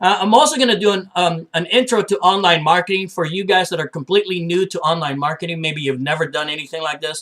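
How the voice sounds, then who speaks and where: This man talks at a very fast clip with hardly any pauses, his high voice moving through ordinary rises and falls in pitch. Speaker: online marketing business owner. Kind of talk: informal training presentation. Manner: informal, many filler words.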